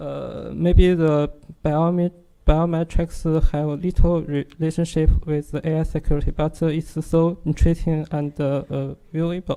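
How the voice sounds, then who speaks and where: The speaker talks at a moderate pace with a strong Chinese accent. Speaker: security researcher. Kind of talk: technical presentation. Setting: workshop audience. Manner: halting, many fillers.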